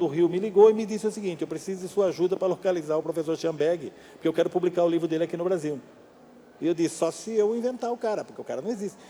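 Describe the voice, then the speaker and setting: This man's voice is high in pitch and his pace is very fast. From Brazil, São Paulo state (Amparo). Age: 60s. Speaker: novelist and screenwriter. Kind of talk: public talk interview. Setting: library event with audience.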